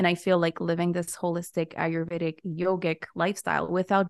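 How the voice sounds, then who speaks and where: Against a quiet background, a woman speaks at a medium pitch, her sound dry and close with no echo. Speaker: Ayurvedic wellness educator and writer. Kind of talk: casual interview chat. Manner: energetic in person, calm on voiceover.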